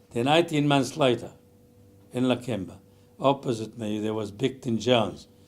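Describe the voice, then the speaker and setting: Music can be heard behind the speaker. He is a man whose pitch varies in an ordinary way. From Lebanon. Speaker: retail business founder. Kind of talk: life story interview.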